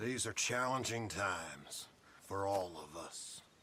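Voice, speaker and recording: A man puts on a character voice, keeping it fairly low in pitch and fairly slow in pace. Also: ordinary pitch variation. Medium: video game.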